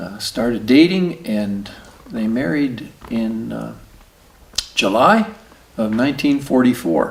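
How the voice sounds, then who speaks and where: A man speaks at a very slow pace and a medium pitch. Noticeable background noise runs underneath. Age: 60s. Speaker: oral history interviewee. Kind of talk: oral history interview. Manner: halting, many fillers.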